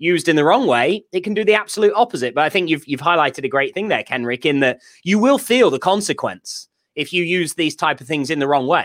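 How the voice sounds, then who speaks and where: With a British accent and lively intonation, a man talks very fast at a high pitch, in a dry, close recording with no echo, a silent background and a very clean sound. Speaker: podcast co-host. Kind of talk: casual chat.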